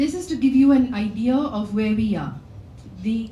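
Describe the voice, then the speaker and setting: A woman speaks at a moderate pace with lively intonation, with noticeable background noise and audible room echo. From Kerala, India. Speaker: company founder. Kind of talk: conference talk. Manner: loud.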